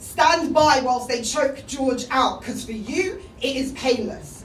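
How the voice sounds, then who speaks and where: A woman's high-pitched voice at a fairly slow pace over noticeable background noise. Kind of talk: spoken word poetry performance.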